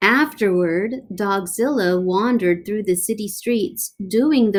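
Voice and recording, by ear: This is reading aloud in a natural voice with ordinary pitch variation. The background is quiet.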